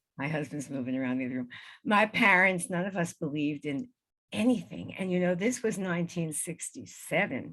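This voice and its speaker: Her pitch swings very widely around a fairly low base for a woman. She talks at a fairly quick pace. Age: 70s. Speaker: spiritual healer and EVP researcher. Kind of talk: interview with slideshow.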